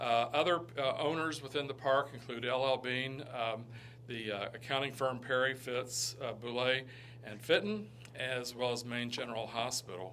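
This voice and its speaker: In a Southern US accent, a man of medium pitch speaks at a moderate pace with fairly even intonation, amid noticeable background noise and audible room echo. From Kentucky (Lexington). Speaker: economic development director. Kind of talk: presentation to town council. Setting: town council meeting. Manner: halting, many fillers.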